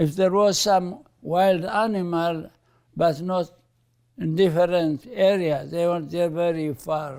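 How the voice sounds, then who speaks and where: A man with a high pitch and fairly even intonation, speaking at a very slow pace on a very clean recording with a silent background. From Eritrea. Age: 90s. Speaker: bishop. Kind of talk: interview.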